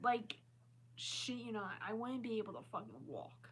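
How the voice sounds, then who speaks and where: In an American accent, a woman talks with lively intonation and some vocal fry. Her pitch is medium and her pace moderate. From Maryland, US. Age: 20s. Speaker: live streamer. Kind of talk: casual live-stream chat.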